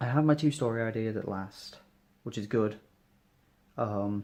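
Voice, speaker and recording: A quiet, fairly low-pitched man with a British accent, talking at a fairly slow pace. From UK. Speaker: vlogger. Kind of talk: casual vlog monologue. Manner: halting.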